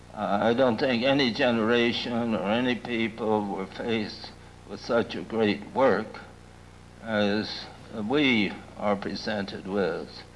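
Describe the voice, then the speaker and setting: Very slowly and with fairly even intonation, a man speaks at a medium pitch amid noticeable background noise and audible room echo. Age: old. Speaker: lecturer on ecology and culture. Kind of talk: lecture. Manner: halting, with many fillers.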